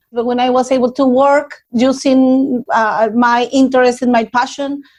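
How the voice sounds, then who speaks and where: A high-pitched woman's voice with a Spanish accent, monotone and flat in intonation, at a moderate pace and very even loudness. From Mexico, Nuevo Laredo. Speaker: community organizer. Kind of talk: interview.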